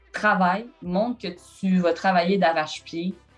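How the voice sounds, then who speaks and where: Music plays behind a woman with a fairly low pitch and ordinary pitch variation. She speaks at a very slow pace. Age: 20s. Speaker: sports journalist. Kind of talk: interview answer.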